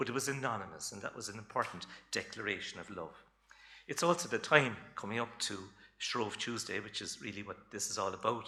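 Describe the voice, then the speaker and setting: In a Cork accent, a man talks at a fairly quick pace with a bright, sharp tone and ordinary pitch variation, audible room echo around him. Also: fairly low pitch for a man. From Ireland, Cork. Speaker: folklore lecturer. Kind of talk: lecture. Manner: casual, with many fillers.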